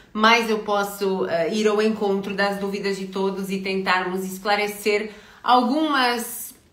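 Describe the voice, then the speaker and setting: A woman's fairly high voice at a fairly slow pace, with audible room echo and noticeable background noise. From Portugal. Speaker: career consultant. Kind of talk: live stream talk. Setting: online live stream. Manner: hesitant, many filler words.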